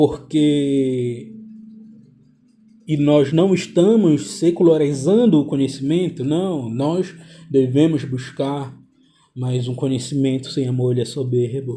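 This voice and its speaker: A man with a fairly high, somewhat breathy voice and a dark, mellow tone speaks at a very slow pace. He leaves long, frequent pauses, and his pitch variation is ordinary. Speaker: religious video commentator. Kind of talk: bible teaching monologue. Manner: preachy, emphatic. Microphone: poor audio.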